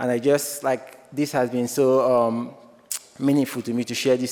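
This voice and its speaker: A man with a Nigerian accent, medium pitch, monotone and flat intonation, fairly quick pace, noticeable background noise. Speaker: student filmmaker. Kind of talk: award acceptance speech.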